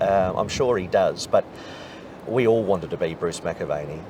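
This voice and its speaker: At a moderate pace, a man talks through noticeable background noise. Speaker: race caller. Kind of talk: interview answer. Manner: conversational, warm.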